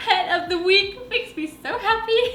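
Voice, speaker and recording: An animated woman speaks in a raised, projected voice with audible room echo. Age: 20s. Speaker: lifestyle vlogger. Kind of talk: casual vlog talk to camera. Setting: at home, window open. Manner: loud.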